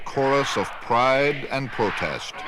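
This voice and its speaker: Over noticeable background noise, a man's voice sits at a medium pitch. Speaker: news journalist narrator. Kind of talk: documentary news narration.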